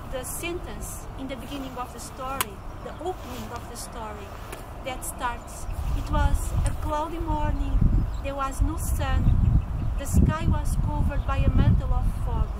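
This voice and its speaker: Over loud background noise, a woman talks at a moderate pace, leaving long, frequent pauses. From Portugal. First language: Portuguese. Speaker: fantasy author; carer. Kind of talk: interview answer. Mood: calm, earnest. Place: garden.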